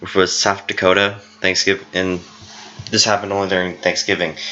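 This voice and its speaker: Noticeable background noise accompanies a man's very deep, low-pitched voice. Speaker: family history vlogger. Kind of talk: unscripted presentation narration. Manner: halting, self-correcting.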